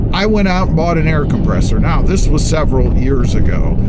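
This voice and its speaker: Music plays in the background as a man speaks in a dry sound with no echo. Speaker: truck channel host. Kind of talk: casual vlog chat. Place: car. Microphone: phone near.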